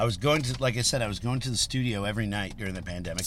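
A man with an American accent talks very fast at medium pitch with ordinary pitch variation. Noticeable background noise sits behind him. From Chicago area, Illinois. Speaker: rock musician. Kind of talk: casual chat. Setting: in a car.

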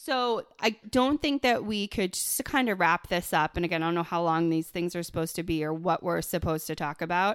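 A woman with a plain, everyday voice speaks at a fairly quick pace with hardly any pauses, her fairly low pitch carrying lively intonation in a very clean, dry, close recording with no echo and a silent background. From Buffalo, New York. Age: 30s. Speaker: podcast co-host, business owner. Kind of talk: casual chat.

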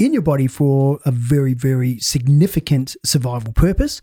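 With an Australian accent, a man speaks at a fairly slow pace in a dark, mellow, somewhat breathy voice, the sound dry and close with no echo. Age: 50s. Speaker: performance coach. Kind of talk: casual chat.

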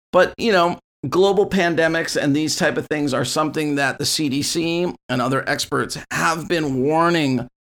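A plain, everyday voice from a man, fairly high in pitch with ordinary variation, at a moderate pace in a very clean recording with a silent background. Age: 50s. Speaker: podcast host, music school owner. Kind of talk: solo rant. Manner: casual, with fillers.

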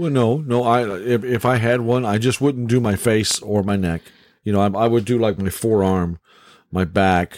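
A plain, everyday voice moves at a moderate pace with ordinary pitch variation and very even loudness, recorded very cleanly against a silent background. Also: man, medium pitch for a man. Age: 60s. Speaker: podcast host. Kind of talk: casual chat. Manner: jokey, folksy.

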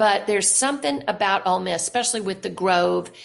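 A woman speaks with a Southern US accent and vocal fry. Her pitch varies in an ordinary way. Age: 60s. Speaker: novelist. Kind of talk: interview.

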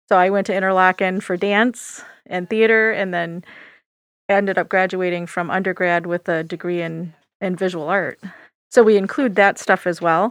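A woman with an American accent speaks at a moderate pace in an ordinary speaking voice of medium pitch. Her intonation is fairly even, and the recording is very clean with a silent background. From Michigan, USA. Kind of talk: casual interview.

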